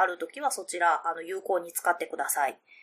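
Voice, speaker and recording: Noticeable background noise is present. Over it, a woman talks at a fairly quick clip. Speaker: solo podcast host. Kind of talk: casual solo talk. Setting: home recording, window open.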